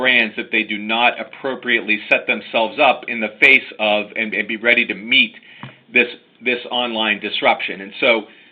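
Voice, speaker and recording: The speaker has an American accent and a fairly even intonation at a moderate pace. Background noise is noticeable. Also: man. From United States. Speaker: lawyer. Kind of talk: webinar presentation. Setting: online webinar.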